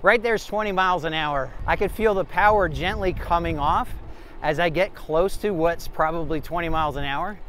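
A man talks in a high pitch with ordinary pitch variation at a moderate pace. The sound is dry with no echo, and there is light background noise. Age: 50s. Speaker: e-bike reviewer. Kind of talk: ride-along commentary; product review. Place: bicycle. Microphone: phone near.

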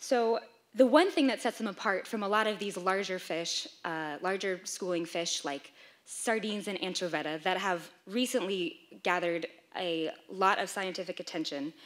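A woman's voice, moderately paced, with ordinary pitch variation. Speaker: presenter. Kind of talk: lecture. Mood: lightly humorous. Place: hall.

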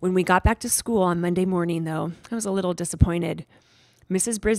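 This is an unforced reading voice. It stays that way throughout.

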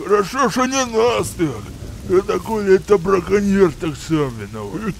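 A man talks at a moderate pace with a high pitch, with clear background noise behind him. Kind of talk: folksy village talk. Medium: machinima. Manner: gruff, matter-of-fact, bossy.

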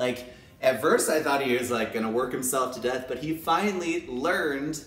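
Fairly high-pitched male voice with audible room echo and light background noise. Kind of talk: casual talk to camera. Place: home room. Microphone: phone near.

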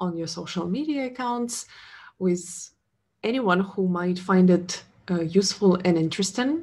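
Her voice is medium-pitched and somewhat breathy as the woman speaks at a fairly slow pace with lively intonation. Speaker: podcast host, sustainability consultant; podcast host. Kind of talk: interview. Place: home room. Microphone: webcam.

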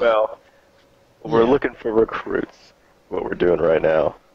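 Gruff and medium in pitch, a man puts on a character voice. He talks at a fairly slow pace. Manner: gruff attempt at sounding cool.

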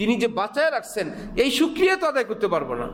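A man speaks at an extremely high pitch. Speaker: Islamic scholar and preacher, madrasa principal. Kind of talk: Islamic sermon (bayan) delivered to a congregation. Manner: emotional, preaching, rhetorical questions.

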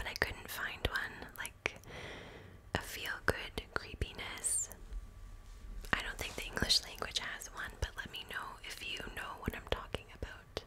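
A woman whispers, soft-spoken and fairly slow, against noticeable background noise. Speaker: storyteller. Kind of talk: soft-spoken story narration. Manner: soft close-mic whisper. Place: home room. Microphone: studio mic.

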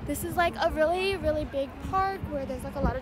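A woman talks at a fairly quick pace over crowd noise in the background, the sound dry with no echo. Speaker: student vlogger. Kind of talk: casual vlog chat. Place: street. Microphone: phone near.

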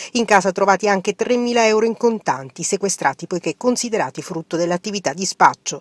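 In a normal speaking voice at medium pitch, a woman talks at a fairly quick pace with hardly any pauses and ordinary pitch variation, in a dry, close sound with no echo. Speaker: TV news reporter. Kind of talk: news reading.

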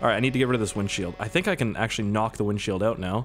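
In a Maritime Canadian accent, a man talks at a very fast pace over noticeable background noise. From Canada, Nova Scotia. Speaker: gaming YouTuber. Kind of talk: let's play commentary. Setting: home recording. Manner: casual, joking.

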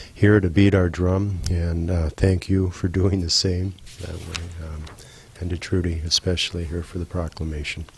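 Soft-spoken and monotone, a man talks with flat intonation in a very deep, low pitch. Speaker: postal worker. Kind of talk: council meeting presentation.

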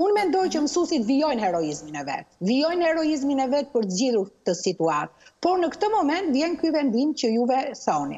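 A woman's high voice, fairly quick, with very wide pitch swings, very even loudness and noticeable background noise. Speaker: university lecturer. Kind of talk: TV interview. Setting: Skype video call.

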